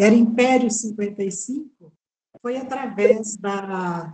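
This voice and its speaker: This woman has a medium-pitched, somewhat breathy voice. Her tone is dark and mellow. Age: 70s. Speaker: English teacher. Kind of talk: interview testimony. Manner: halting, many fillers.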